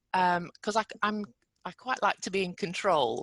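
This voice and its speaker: Here a woman is speaking against a quiet background. The sound is dry and close, with no echo. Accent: British. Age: 60s. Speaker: entrepreneur. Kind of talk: podcast interview.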